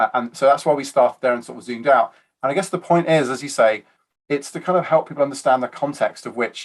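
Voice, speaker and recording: With a British accent, a man talks at a very fast pace with ordinary pitch variation. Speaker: IT architecture advisor. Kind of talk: interview. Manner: halting.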